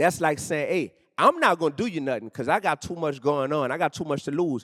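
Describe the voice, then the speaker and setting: In a New Orleans accent, a man speaks with a fairly high pitch and an animated tone. The recording is very clean with a silent background, and the sound is dry and close with no echo. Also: ordinary pitch variation, fairly quick pace. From New Orleans, Louisiana, US South. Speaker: rapper and educator. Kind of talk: on-stage interview. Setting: stage with audience.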